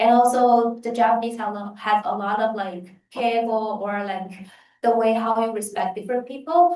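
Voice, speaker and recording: With a Chinese accent, a woman speaks at a fairly slow pace, her fairly high pitch showing ordinary pitch variation. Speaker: exchange student. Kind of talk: panel Q&A answer.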